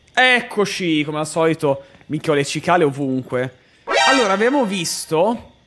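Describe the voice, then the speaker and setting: A man's animated, fairly high-pitched voice with very wide pitch swings amid loud background noise. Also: moderate pace. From Bologna, Emilia-Romagna, Italy. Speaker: gaming streamer. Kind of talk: live game streaming commentary. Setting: home streaming setup. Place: home room. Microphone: studio mic.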